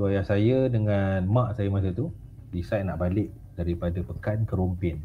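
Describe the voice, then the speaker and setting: Somewhat breathy, a man speaks at a very deep, low pitch with a dark, mellow tone. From Malaysia, Pahang. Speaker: guest storyteller. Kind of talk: casual storytelling interview.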